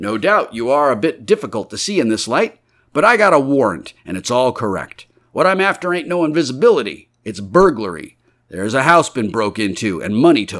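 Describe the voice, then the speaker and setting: A put-on character voice from a man, medium in pitch with very wide pitch swings, at a fairly quick pace, on a very clean recording with a silent background. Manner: stolid, matter-of-fact.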